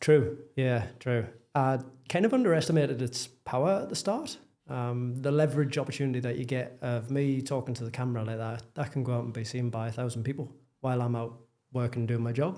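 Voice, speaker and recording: With a Geordie accent, a man speaks fairly quickly at a medium pitch, his tone dark and mellow and his intonation fairly even. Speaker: property developer. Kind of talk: casual chat.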